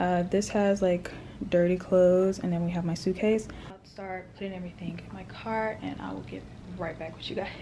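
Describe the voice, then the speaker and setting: In audible room echo, a woman of medium pitch speaks at a fairly quick pace with monotone, flat intonation and big swings in loudness. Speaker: vlogger. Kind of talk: casual vlog.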